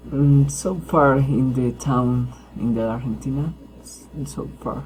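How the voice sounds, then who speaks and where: A man at a very slow pace, with audible room echo. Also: big swings in loudness. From Colombia, Huila. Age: 20s. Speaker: university student. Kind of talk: class self-introduction. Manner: halting, many hesitations.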